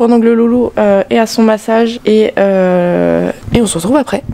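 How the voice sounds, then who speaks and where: Noticeable background noise fills the clip. A woman speaks with ordinary pitch variation. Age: 20s. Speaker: horse owner vlogger. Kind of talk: vlog monologue. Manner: casual, hesitant; soft-spoken.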